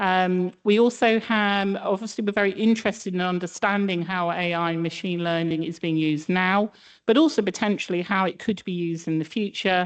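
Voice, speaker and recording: With a British accent, a woman speaks at a medium pitch. The background is quiet. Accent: British accent noticeable. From UK. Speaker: statistician presenting a project. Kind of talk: conference presentation. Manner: hesitant, many fillers.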